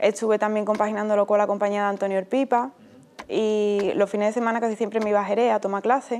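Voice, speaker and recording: At a very fast pace, a woman with a fairly high pitch talks in a monotone, flat way over light background noise. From Andalusia, Spain (Utrera, Seville); Andalusia. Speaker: flamenco dancer; interviewee. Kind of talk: interview. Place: studio.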